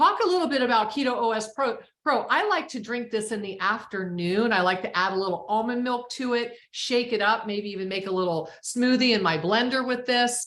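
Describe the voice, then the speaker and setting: A woman with a fairly high pitch and an ordinary speaking voice talks at a fairly quick pace with lively intonation and hardly any pauses. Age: 60s. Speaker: wellness product distributor. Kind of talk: webinar product talk. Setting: live Zoom call.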